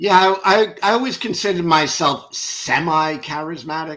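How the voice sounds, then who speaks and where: A man with a New York accent, a bright, sharp tone and a fairly slow pace. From New York (Brooklyn). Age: 60s. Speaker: ex-religious content creator. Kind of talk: interview testimony.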